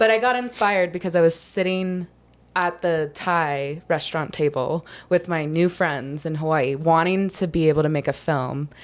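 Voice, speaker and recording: A woman's fairly low voice at a moderate pace with ordinary pitch variation, in a very clean recording with a silent background. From US South, Charleston, South Carolina. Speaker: filmmaker. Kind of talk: podcast interview. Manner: casual, filler-heavy.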